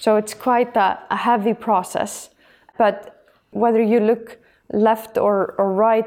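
A woman's fairly high, dark and mellow voice in an Icelandic accent, flat and monotone at a fairly slow pace. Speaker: energy agency head. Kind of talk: interview. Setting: office.

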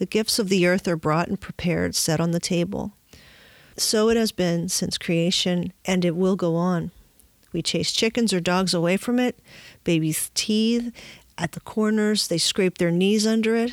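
In a very clean recording with a silent background and a dry, close sound with no echo, a woman uses a plain, everyday voice at medium pitch with fairly even intonation. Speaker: podcast host. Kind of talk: reading a poem aloud, then reflecting. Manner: slow, measured, reverent; warm, contemplative.

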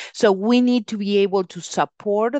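The recording captures a woman's voice. The sound is dry and close with no echo, over a quiet background. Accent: Spanish. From Uruguay. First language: Spanish. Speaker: venture capital investor. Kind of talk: interview.

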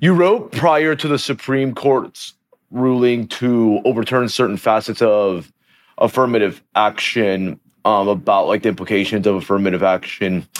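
With lively intonation and very even loudness, a man talks at a moderate pace in an ordinary speaking voice of medium pitch. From Venezuela, raised in Texas. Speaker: podcast host. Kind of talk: interview.

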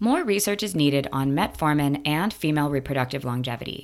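A woman's very deep, low voice at a fairly quick pace, with very wide pitch swings, on a very clean recording with a silent background. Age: 30s. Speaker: science newsletter podcaster, former biotech founder. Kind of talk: scripted narration.

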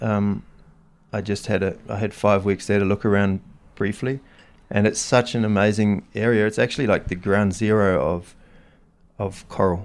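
A man with a New Zealand accent speaks at a fairly low pitch in a monotone, flat way. He leaves long, frequent pauses. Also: moderate pace. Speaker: snowboarding photographer. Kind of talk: casual interview chat. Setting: in person at a Swiss ski resort. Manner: halting, with frequent repetitions.

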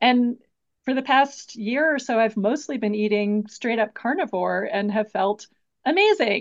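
Speaking at a fairly slow pace, a woman uses a normal speaking voice, fairly high in pitch with ordinary pitch variation. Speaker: podcast host. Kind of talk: interview conversation.

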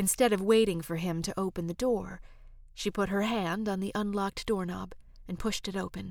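Simple, plain reading aloud

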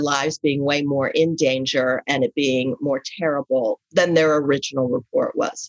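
With an American accent, a woman speaks at a moderate pace in a very deep, low pitch, the sound dry and close with no echo. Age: 60s. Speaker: writer and advice columnist. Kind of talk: casual interview conversation.

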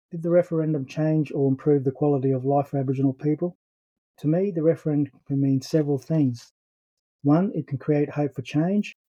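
With an Australian accent, a man speaks fairly quickly at a fairly high pitch and with fairly even intonation. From Brisbane, Australia. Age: 60s. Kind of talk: personal testimony.

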